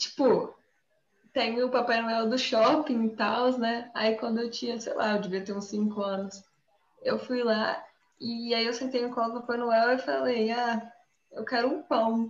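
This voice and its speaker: A woman's unremarkable speaking voice, fairly high in pitch, with fairly even intonation and a fairly slow pace. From inland Brazil. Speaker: podcast co-host. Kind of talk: casual chat.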